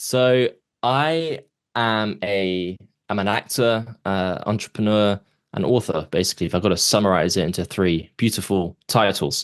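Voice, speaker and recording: A man with a fairly low pitch speaks at a moderate pace, his pitch varying in an ordinary way. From London, England. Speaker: actor and author, abuse survivor. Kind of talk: podcast interview, personal testimony. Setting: podcast interview.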